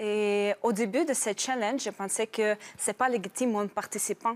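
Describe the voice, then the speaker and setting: A Russian accent, fairly even intonation, and a moderate pace, in a dry, close sound with no echo. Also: woman. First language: Russian (speaking French). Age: 30s. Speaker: program participant, newcomer immigrant. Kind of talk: TV interview. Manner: halting.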